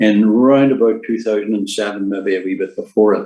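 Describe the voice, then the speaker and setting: In a Northern Irish accent, a man speaks at a medium pitch. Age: 70s. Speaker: retired nurse. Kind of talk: presentation. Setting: online seminar. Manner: halting, many fillers.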